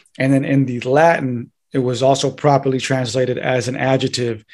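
Against a quiet background, a man with an American accent speaks at a medium pitch. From north San Diego County, California. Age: 20s. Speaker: occult and theology researcher; podcast guest. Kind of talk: casual interview chat. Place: home room. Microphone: studio mic.

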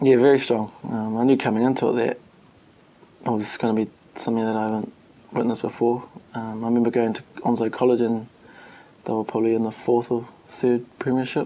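With a New Zealand accent, the speaker moves at a fairly quick pace in a monotone, flat delivery, leaving long, frequent pauses over light background noise. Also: man, medium pitch for a man. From New Zealand, Wellington and Palmerston North. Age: young. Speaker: rugby player. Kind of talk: interview. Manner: hesitant, many fillers. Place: meeting room.

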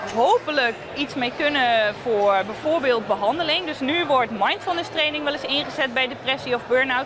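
A high-pitched woman's voice at a moderate pace, lively in intonation, with noticeable background noise and a dry sound with no echo. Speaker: researcher. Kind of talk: interview answer. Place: hall.

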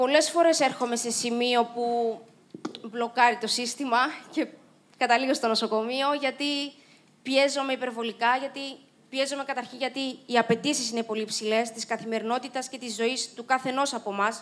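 Pitched high, a woman speaks at a moderate pace. Her intonation stays monotone and flat. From Cyprus. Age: 30s. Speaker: Paralympic swimmer and motivational speaker; speaker. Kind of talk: inspirational talk. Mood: reflective, earnest. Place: stage. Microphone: handheld.

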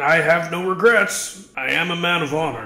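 A man's fairly high-pitched voice, with faint music in the background. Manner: melodramatic, blustering.

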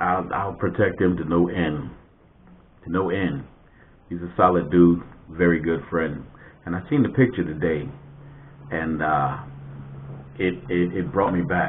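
Over light background noise, a man with a very deep, low pitch talks at a fairly slow pace with ordinary pitch variation and long, frequent pauses. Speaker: vlogger. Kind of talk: casual vlog chat. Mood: warm, nostalgic, amused. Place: home room.

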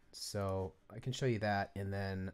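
A man keeps a very slow pace, his intonation fairly even. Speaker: music production tutorial creator. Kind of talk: tutorial. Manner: casual, halting.

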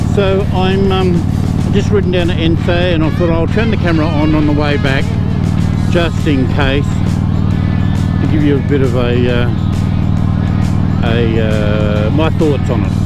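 The speech moves at a fairly slow pace with long, frequent pauses, the sound dry with no echo and clear music playing in the background. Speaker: motorcycle vlogger. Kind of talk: casual vlog chat. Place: motorbike. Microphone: helmet.

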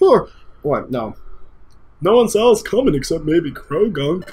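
This put-on character voice sits at a middle pitch and moves along at a moderate pace.

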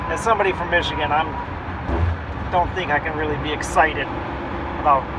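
A man talking at a fairly quick pace over loud background noise. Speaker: road trip vlogger. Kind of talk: casual vlog chat. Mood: dry, wry humor. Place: car. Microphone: phone near.

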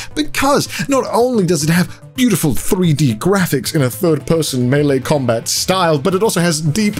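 A man talks with hardly any pauses. Faint music plays in the background. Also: moderate pace. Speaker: youtuber doing sponsor read. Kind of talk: sponsor advertisement read. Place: home room. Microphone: studio mic.

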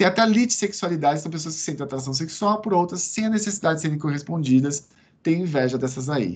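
A man talks at a very fast pace, his fairly high voice rising and falling with lively intonation. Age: 40s. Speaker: psychiatrist lecturer. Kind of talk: online lecture. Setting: video call from home veranda. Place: home room. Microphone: video call.

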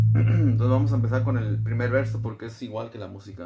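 A man speaks with music in the background. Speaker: bass teacher. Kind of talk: tutorial. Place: home room. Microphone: phone near.

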